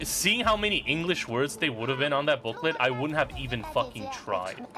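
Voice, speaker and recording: Music in the background under a man with a non-native accent, a fairly high pitch, very wide pitch swings and a fairly quick pace. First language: not English. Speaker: gaming streamer. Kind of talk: live stream commentary. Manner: casual, halting with repetitions.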